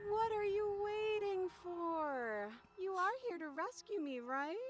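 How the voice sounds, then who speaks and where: A female-sounding put-on character voice pitched extremely high. It moves at a fairly slow pace. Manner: whiny, pleading.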